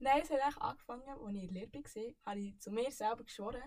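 A woman's very fast, somewhat breathy speech with lively intonation. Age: 20s. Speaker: podcast guest. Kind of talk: casual chat.

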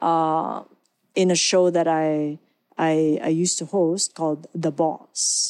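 A woman's very slow, monotone voice, flat in intonation, at very even loudness, on a very clean recording with a silent background. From Philippines. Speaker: broadcast journalist and corporate communications executive. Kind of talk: podcast interview.

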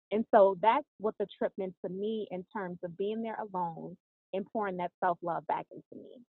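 In an American accent, a woman with a plain, everyday voice talks at a moderate pace and medium pitch, her intonation fairly even but her loudness swinging widely. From US South, New Orleans then Atlanta. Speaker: author and reality TV personality. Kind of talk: podcast interview.

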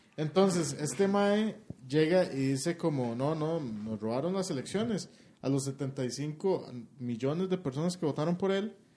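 The voice has a dark, mellow tone and lively intonation, moving at a fairly slow pace. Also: man, fairly high pitch for a man. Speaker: podcast co-host. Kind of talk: casual chat.

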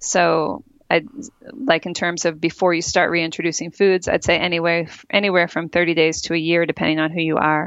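A plain, everyday voice moves at a fairly quick pace. Intonation stays fairly even over a quiet background. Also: woman, fairly low pitch for a woman. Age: 40s. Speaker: health writer and podcast host. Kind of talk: interview.

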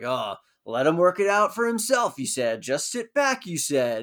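A man's mumbling, put-on character voice, high-pitched with very wide pitch swings, at a moderate pace. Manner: grouchy, mumbling.

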